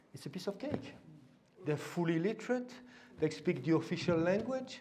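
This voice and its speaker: Talking at a moderate pace, a man with a French accent has a high pitch and lively intonation. Room echo is audible. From France. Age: old. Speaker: invited lecturer on education policy. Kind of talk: lecture. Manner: hesitant, with many fillers and repetitions.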